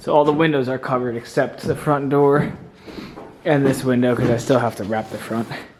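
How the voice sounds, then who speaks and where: Speaking at a moderate pace, a man with an American accent holds a medium pitch. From New Jersey. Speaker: homesteader vlogger. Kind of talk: casual vlog narration.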